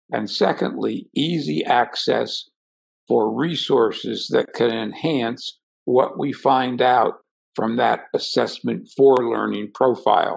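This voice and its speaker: The setting is quiet. A man delivers his words very slowly. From New Jersey shore; New Jersey. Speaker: professor of gifted education. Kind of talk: interview storytelling. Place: home room. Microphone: video call.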